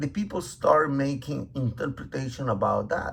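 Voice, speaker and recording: A man with a medium pitch and a non-native accent. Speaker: religious teacher. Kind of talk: bible teaching. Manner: halting, many fillers.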